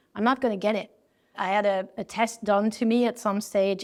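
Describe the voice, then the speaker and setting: Speaking at a fairly quick pace, a woman with a French accent keeps a monotone, flat intonation. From France. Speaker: design executive. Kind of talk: interview. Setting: event.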